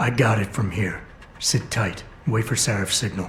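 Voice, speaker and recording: Over clear background noise, a man puts on a raspy character voice at a medium pitch. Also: moderate pace. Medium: video game. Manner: terse, low-key.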